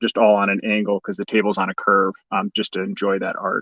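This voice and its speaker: Heard with a dry, close sound and no echo, a man talks at a fairly quick pace with a slight Chicago accent. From US Midwest, Chicago. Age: 40s. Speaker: toy collector youtuber. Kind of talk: livestream unboxing. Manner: enthusiastic.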